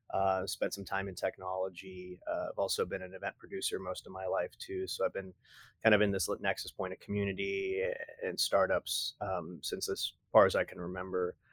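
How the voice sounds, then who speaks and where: A man with an American accent at a moderate pace, in a very clean recording with a silent background and a dry, close sound with no echo. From Texas. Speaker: startup accelerator director. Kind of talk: casual interview. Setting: studio, in person.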